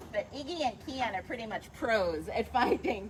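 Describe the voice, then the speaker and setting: Over noticeable background noise, a woman speaks at a fairly slow pace in a fairly high pitch with very wide pitch swings. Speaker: zoo educator. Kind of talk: live educational commentary. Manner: quiet to avoid disturbing animals.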